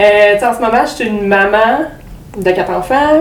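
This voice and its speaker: The speaker talks at a moderate pace with ordinary pitch variation, amid noticeable background noise and audible room echo. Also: woman. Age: 30s. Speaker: podcast guest, mother and student. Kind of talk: casual interview chat. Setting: in-person podcast studio.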